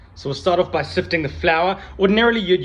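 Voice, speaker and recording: A man speaks with lively intonation and vocal fry. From South Africa. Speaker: cooking video host. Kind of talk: cooking tutorial. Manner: casual, friendly.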